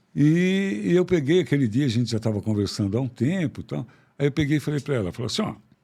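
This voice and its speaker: Here a man speaks at a medium pitch and a moderate pace. His tone is dark and mellow, with very wide pitch swings. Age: 70s. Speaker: psychiatrist. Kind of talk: interview conversation. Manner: animated.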